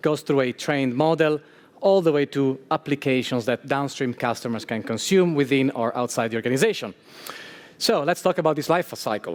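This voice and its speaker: In a strong Italian accent, the voice moves at a fairly quick pace with ordinary pitch variation and a dry, close sound with no echo. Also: man, fairly high pitch for a man. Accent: thick Italian. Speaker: security engineer speaker. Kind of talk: conference talk.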